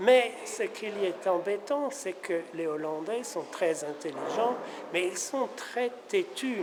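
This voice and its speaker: In a room with audible echo and noticeable background noise, a man speaks at a very slow pace with lively intonation. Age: 70s. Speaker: painter's son. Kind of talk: interview. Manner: hesitant.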